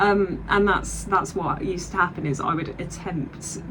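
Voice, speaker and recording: Against noticeable background noise and audible room echo, a woman with a southern English accent speaks at a fairly slow pace with fairly even intonation. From Southeast England. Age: 20s. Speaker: vlogger and digital artist. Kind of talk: casual vlog chat. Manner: hesitant, many fillers.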